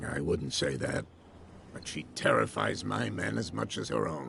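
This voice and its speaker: In a raspy, put-on character voice, the speaker moves at a moderate pace with ordinary pitch variation over clear background noise. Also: man, very deep, low pitch for a man. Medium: video game. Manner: calm, probing.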